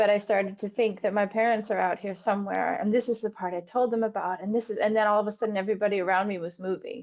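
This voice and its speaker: A woman's medium-pitched voice at a very fast pace, fairly even in intonation, with hardly any pauses. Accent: American. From US Northeast, Vermont. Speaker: dance teacher. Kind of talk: casual chat. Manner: halting.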